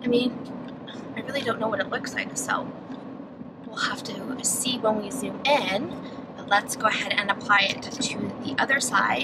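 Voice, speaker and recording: Moderate-paced speech from a woman over loud background noise. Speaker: beauty vlogger. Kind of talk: casual vlog chat. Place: car.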